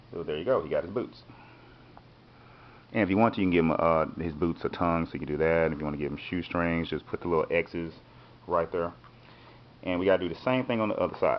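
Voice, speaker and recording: The speech moves at a very fast pace with ordinary pitch variation, broken up by long, frequent pauses. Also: man, very deep, low pitch for a man. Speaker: art teacher. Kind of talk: tutorial. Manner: casual.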